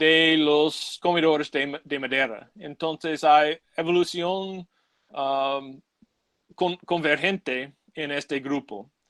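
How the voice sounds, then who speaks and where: A man with a non-native accent, fairly high in pitch, with ordinary pitch variation, at a very slow pace, in a dry, close sound with no echo. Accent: English-speaking, non-native Spanish. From United States. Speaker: ichthyologist giving a talk. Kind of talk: lecture. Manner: halting, many fillers.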